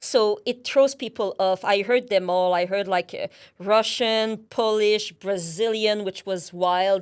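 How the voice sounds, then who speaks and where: On a very clean recording with a silent background, a woman with a French Canadian accent speaks at a medium pitch and a fairly slow pace. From Quebec, Canada. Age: 30s. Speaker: account manager. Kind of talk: interview.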